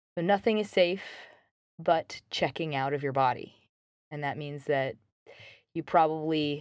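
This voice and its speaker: A woman speaks at a very deep, low pitch. Her pace is fairly slow, with fairly even intonation. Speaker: podcast host. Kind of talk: self-help monologue. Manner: casual with many fillers.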